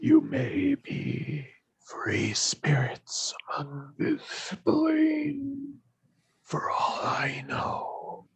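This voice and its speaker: Very slow, raspy speech in a put-on character voice. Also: man. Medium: actual play. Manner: formal, stiff, halting.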